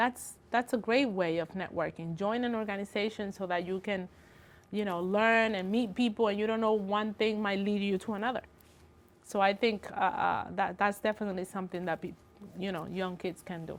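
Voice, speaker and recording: In a Spanish accent, a woman speaks at a moderate pace with a medium pitch and fairly even intonation. The recording is very clean, with a silent background. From Dominican Republic. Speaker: construction estimating engineer. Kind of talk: tv interview.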